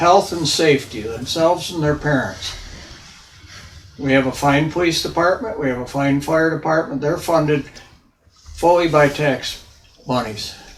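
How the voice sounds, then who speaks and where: A man's fairly high-pitched voice at a moderate pace, with ordinary pitch variation, long, frequent pauses and noticeable background noise. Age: 80s+. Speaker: volunteer ambulance EMT speaking at public hearing. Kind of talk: public hearing comment.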